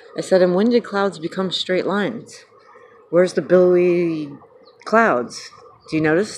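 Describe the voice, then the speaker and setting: Moderate pace amid noticeable background noise. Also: woman. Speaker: vlogger. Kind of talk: casual vlog monologue. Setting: outdoors.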